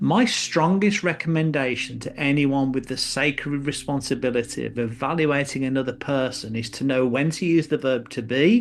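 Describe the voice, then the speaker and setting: A man talks with an English accent. His pitch is fairly high, with ordinary pitch variation. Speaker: business columnist and speaker. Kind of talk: reading aloud. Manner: conversational.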